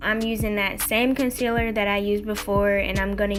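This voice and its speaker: A woman speaks with music in the background. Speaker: beauty vlogger, makeup beginner. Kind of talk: casual makeup tutorial talk to camera.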